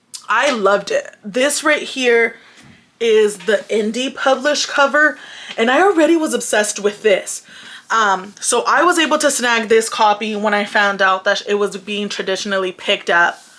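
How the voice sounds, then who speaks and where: Speech with lively intonation moves at a moderate pace over noticeable background noise. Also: woman, fairly high pitch for a woman. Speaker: book youtuber. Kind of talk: casual chat.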